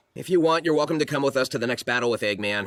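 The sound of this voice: Speaking at a very fast pace, a cartoonish character voice delivers its lines. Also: man, medium pitch for a man.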